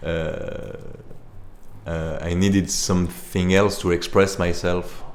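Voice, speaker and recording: Very deep and low, a man's voice comes in a French accent at a very slow pace with monotone, flat intonation and audible room echo. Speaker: musician and composer. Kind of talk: interview. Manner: halting.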